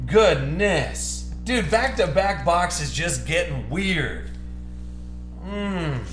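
A man speaking at a very slow pace, with music in the background and audible room echo. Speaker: box break host. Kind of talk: excited live stream commentary. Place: studio.

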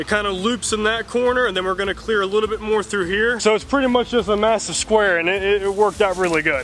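A man's high-pitched voice, bright and sharp in tone, with fairly even intonation over faint background noise

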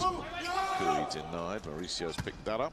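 A man talking at a moderate pace, with noticeable background noise. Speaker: volleyball commentator. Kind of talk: live sports commentary. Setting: broadcast commentary over match.

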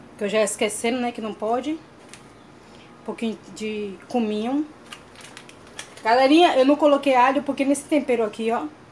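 Against light background noise, a woman speaks at a high pitch with ordinary pitch variation. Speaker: cooking vlogger. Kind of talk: cooking tutorial vlog. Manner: fast; animated. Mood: cheerful, warm. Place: home room.

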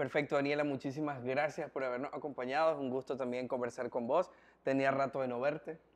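Monotone, flat intonation runs through the speech at a fairly quick pace. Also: man, medium pitch for a man. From Nicaragua. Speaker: interviewer and entertainment presenter; interviewer. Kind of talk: interview. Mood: friendly, polite. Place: home room.

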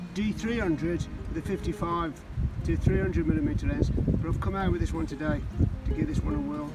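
Loud music plays in the background, and the sound is dry with no echo. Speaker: nature walk vlogger. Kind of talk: casual vlog chat. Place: waterside. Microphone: phone near.

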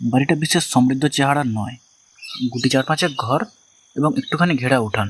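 Against a quiet background, text is read aloud in a natural voice.

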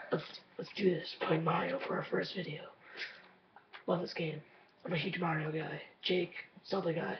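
With audible room echo and noticeable background noise, a man speaks at a moderate pace with a high pitch, fairly even intonation and long, frequent pauses. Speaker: gaming YouTuber. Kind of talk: gameplay commentary. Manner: talkative.

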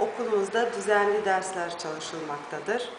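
Talking at a very slow pace, a woman with a Balkan accent is heard over noticeable background noise. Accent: Balkan Turkish dialect. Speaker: primary school teacher. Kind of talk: self-introduction to camera. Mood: friendly, calm. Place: classroom. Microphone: phone near.

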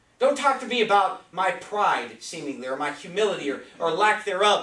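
A man speaks at a moderate pace with very wide pitch swings. Audible room echo hangs around his voice. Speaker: preacher. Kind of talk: sermon. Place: church. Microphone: camera far.

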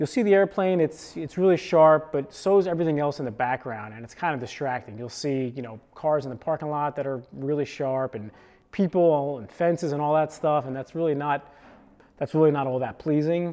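A man speaks at a fairly quick pace with ordinary pitch variation and big swings in loudness. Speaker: creator. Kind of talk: casual gear explainer. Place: home room. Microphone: lapel.

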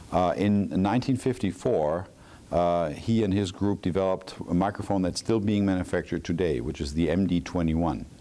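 A man's very deep, low voice with ordinary pitch variation. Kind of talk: interview answer. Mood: calm, proud storytelling. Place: hall. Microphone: lapel.

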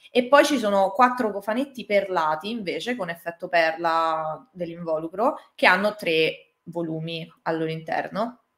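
A woman speaks at a fairly slow pace with hardly any pauses and lively intonation. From Italy. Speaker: manga artist; interviewee. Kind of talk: interview. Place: home room.

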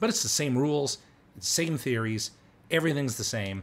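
Somewhat breathy, a man talks at a fairly quick pace with lively intonation. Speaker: gamer narrating his play. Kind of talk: live gameplay commentary.

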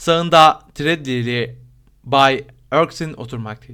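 This natural reading voice shows ordinary pitch variation from line to line.

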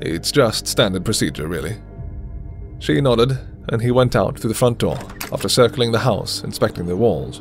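A man speaks with a fairly low pitch and lively intonation at a moderate pace, leaving long, frequent pauses. Music plays in the background. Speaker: voice actor. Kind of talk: audiobook narration.

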